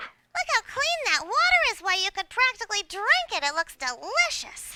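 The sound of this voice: At a moderate pace, someone uses a put-on character voice with an extremely high pitch and very wide pitch swings.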